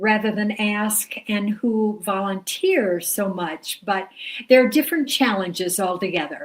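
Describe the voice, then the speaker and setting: On a very clean recording, silent background, a woman with an American accent speaks at a very slow pace. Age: 80s+. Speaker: retired teacher. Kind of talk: interview.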